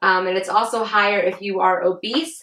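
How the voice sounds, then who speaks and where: Vocal fry runs through this woman's speech. Her pitch is medium. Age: 20s. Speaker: vlogger. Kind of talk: casual explainer vlog. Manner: hesitant, many fillers.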